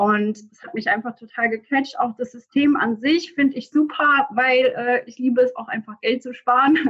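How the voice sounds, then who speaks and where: A woman's high pitch, ordinary pitch variation, big swings in loudness and hardly any pauses. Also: moderate pace. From Germany, near Frankfurt am Main. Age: 20s. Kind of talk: interview answers.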